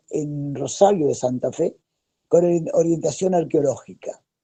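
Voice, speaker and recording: Dark, mellow tone in a man's voice pitched fairly high. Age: 70s. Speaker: anthropologist and archaeologist. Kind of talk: video call talk, personal history. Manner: hesitant, with fillers and repetitions.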